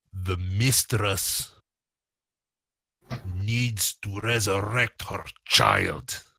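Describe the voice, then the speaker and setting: In a very clean recording with a silent background, a man uses a put-on character voice, fairly low in pitch, speaking at a very slow pace with long, frequent pauses. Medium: actual play. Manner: blunt, stern.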